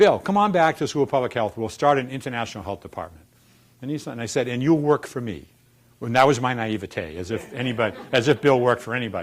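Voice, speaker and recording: With a Boston accent, a man speaks at medium pitch using lively intonation. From Boston, US. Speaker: dean of a public health school. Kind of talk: informal staff talk on school history.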